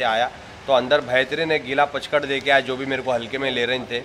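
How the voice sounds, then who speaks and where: Here a man speaks with a Hyderabadi accent at a fairly quick pace. His intonation is fairly even, and there is light background noise. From Hyderabad, India. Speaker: reality show contestant. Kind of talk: interview answer. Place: hall. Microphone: handheld.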